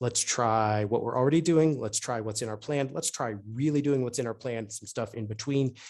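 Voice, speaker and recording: The speaker uses ordinary pitch variation and hardly any pauses. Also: man, medium pitch for a man. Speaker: urban planning consultant. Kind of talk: webinar presentation. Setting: online webinar. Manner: fast.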